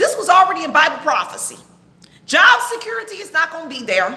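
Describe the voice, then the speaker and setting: A woman projects a raised, animated voice at an extremely high pitch, swinging very widely in pitch at a moderate pace, with audible room echo. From Texas. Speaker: online preacher and commentator. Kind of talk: livestream commentary sermon. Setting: live stream. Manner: loud.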